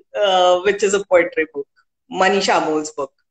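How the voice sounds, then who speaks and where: This is a woman speaking with an Indian accent. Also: dry, close sound with no echo. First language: Hindi. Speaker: poet and author, civil servant. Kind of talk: interview. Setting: live video stream. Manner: hesitant, many fillers.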